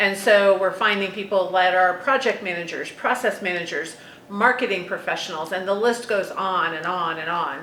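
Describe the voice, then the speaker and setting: A woman's medium-pitched voice at a moderate pace with ordinary pitch variation, with noticeable background noise and audible room echo. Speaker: consulting firm president and talent expert. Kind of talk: podcast conversation.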